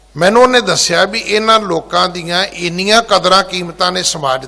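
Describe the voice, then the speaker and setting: A man speaks in a high voice, his loudness swinging widely. Pitch moves in an ordinary way, with noticeable noise behind him. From rural Punjab. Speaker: Sikh preacher / head granthi. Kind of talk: religious discourse (katha). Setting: gurdwara.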